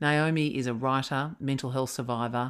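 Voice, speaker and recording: A woman with an Australian accent and a very deep, low pitch, at a moderate pace with fairly even intonation, on a very clean recording with a silent background. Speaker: podcast host and leadership coach. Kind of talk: interview; scripted narration.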